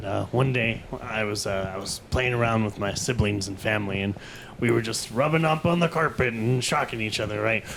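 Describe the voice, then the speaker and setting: A man puts on a gruff character voice at a medium pitch. He talks at a fairly quick pace over clear background noise. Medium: audio drama.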